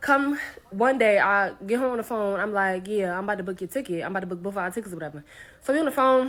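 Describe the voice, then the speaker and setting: A woman at medium pitch talks at a very fast pace, with an animated tone and lively intonation. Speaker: content creator and solo traveler. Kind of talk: storytime.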